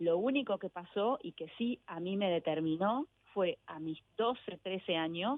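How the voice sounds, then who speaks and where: At a fairly slow pace, a woman talks in an ordinary speaking voice with lively intonation. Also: medium pitch for a woman. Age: 50s. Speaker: author and journalist. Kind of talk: radio interview.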